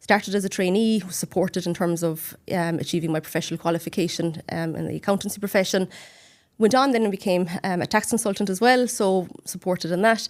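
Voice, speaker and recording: A woman with a Cork accent talks at a very fast pace with ordinary pitch variation. Her medium-pitched voice comes through on a very clean recording with a silent background. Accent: Cork accent, stands out. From Ireland, Cork. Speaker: accountant and regional manager. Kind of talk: podcast interview. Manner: hesitant fillers and repetitions.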